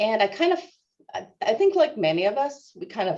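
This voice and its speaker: A woman's dark, mellow voice in a West Coast US accent, at a moderate pace with ordinary pitch variation. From US Northwest, Seattle suburbs. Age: 60s. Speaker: natural resource extension specialist. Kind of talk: interview. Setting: video call webinar. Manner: halting, many fillers.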